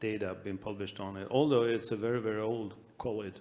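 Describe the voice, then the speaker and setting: In a Swedish accent, a man talks at a fairly quick pace with a fairly low pitch. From Sweden. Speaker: anaesthesia researcher. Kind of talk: panel discussion. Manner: halting.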